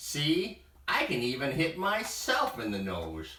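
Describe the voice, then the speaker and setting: A put-on character voice at a fairly slow pace, with a slight echo. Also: man, fairly high pitch for a man. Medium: read story. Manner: excited, eager.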